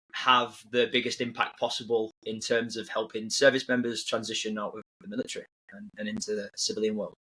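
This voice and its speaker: A man talks fairly quickly with a northern English accent. His medium-pitched voice is bright and sharp, with fairly even intonation. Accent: British, northern English. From northern England, near Manchester. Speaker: army veteran, tech company founder. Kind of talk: podcast interview. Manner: halting, many repeats and fillers.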